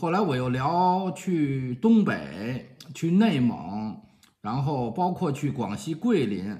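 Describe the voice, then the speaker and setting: A man speaking with very wide pitch swings, set against a quiet background. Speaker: vlogger telling a personal story. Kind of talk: casual vlog chat. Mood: cheerful, self-mocking. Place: home room. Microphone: phone near.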